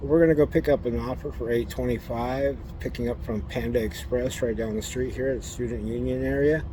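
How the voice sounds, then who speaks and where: Talking at a fairly quick pace with hardly any pauses, a man is heard with audible room echo and noticeable background noise. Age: 60s. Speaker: gig delivery driver vlogger. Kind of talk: casual vlog monologue.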